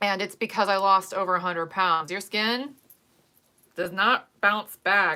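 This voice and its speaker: A woman's medium-pitched voice with an American accent and a bright, sharp tone, at a fairly slow pace, in a very clean recording with a silent background. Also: fairly even intonation. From US Midwest, Ohio. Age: 40s. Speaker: makeup and wig vlogger. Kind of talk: casual chat.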